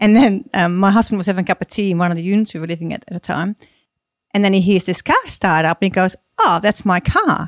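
A woman speaks very fast at a medium pitch with a Dutch accent. Her intonation stays fairly even, and the sound is dry and close with no echo. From Netherlands. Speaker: mother of ten, former homeschooler. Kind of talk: casual chat. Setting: studio.

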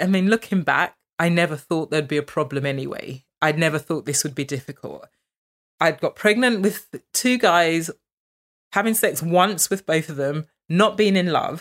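In a plain, everyday voice, a woman talks at a moderate pace, fairly low in pitch, with ordinary pitch variation. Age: 40s. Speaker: interviewee sharing experience of infertility. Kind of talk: personal testimony. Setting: at her home.

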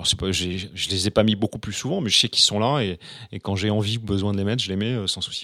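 Speaking at a very fast pace, a man uses a fairly low pitch and fairly even intonation. The recording is very clean, with a silent background. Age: 50s. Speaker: real estate agent. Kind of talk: casual interview. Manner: halting, many repetitions and fillers.

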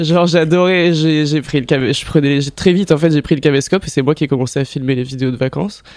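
Over noticeable background noise, a man talks at a very fast pace with hardly any pauses. His pitch is fairly high and his intonation fairly even. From southern France. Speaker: photographer and director. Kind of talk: casual chat.

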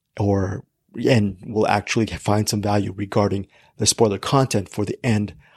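A man speaks at a moderate pace, his voice somewhat breathy. The sound is dry and close, with no echo. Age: 50s. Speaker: film podcast host. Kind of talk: casual chat.

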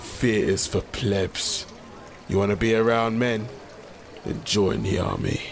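A man speaks in a put-on character voice at a fairly slow pace, his fairly low pitch broken by long, frequent pauses over clear background noise. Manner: brash, boozy.

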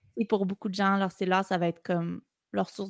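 In a Quebec accent, a woman at a medium pitch speaks at a moderate pace with monotone, flat intonation, recorded with a dry, close sound and no echo. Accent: Québécois French. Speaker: drummer and content creator. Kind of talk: casual chat. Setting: video call.

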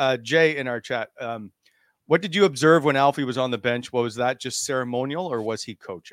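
A man speaks in a normal speaking voice at a medium pitch with ordinary pitch variation and a fairly quick pace. The sound is dry and close with no echo, and the recording is very clean with a silent background. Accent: Canadian. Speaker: hockey podcast host. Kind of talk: casual chat.

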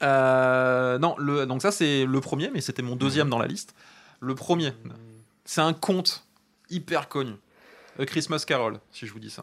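The speech moves at a fairly slow pace with long, frequent pauses, ordinary pitch variation and big swings in loudness. The recording is very clean, with a silent background. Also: man, medium pitch for a man. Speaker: children's story author and podcaster. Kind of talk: casual chat.

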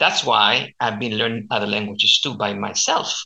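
A man speaks at a moderate pace with a Chilean accent. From Chile, Santiago. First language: Spanish. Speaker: language coach. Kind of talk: interview. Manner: halting.

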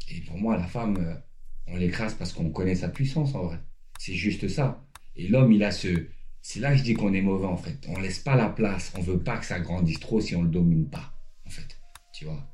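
Over audible room echo, a man with a very deep, low pitch and a dark, mellow tone speaks somewhat breathily at a moderate pace, with lively intonation and long, frequent pauses. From Paris suburbs, France. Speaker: former pro basketball player, life coach. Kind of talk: casual interview. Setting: at the guest's home.

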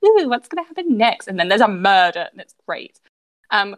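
The quiet background carries an unforced reading voice.

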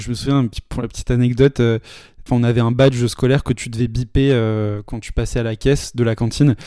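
A man's dark, mellow voice in flat, monotone intonation, on a very clean recording with a silent background. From Paris, France. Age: 20s. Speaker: sales representative. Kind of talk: casual interview chat.

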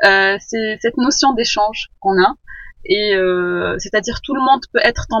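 Speaking at a fairly slow pace, a woman uses ordinary pitch variation. Her pitch sits in the medium range. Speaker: permaculture student. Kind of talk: interview. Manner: halting.

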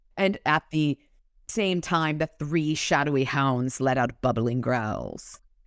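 A woman with an American accent speaks at a very slow pace in a very deep, low pitch, her loudness very even. The recording is very clean with a silent background and a dry, close sound with no echo. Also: ordinary pitch variation. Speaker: podcast host. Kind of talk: casual chat, some reading aloud. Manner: animated, joking.

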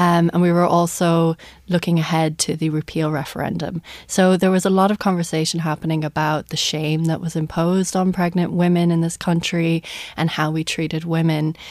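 In an Irish accent, a woman with fairly low pitch talks at a fairly quick pace with monotone, flat intonation. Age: 30s. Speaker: journalist and author. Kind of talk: radio interview. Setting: studio.

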